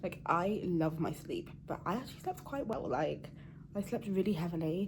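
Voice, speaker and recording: Quiet and somewhat breathy, a woman speaks at a moderate pace in a fairly low voice with ordinary pitch variation. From Channel Islands. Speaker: cybersecurity vlogger. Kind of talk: casual vlog to camera. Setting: hotel room. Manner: quiet, hushed.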